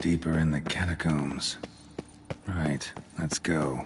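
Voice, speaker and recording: Someone uses a put-on character voice at a fairly slow pace, with clear background noise. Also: man, very deep, low pitch for a man. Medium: video game. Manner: terse, deadpan.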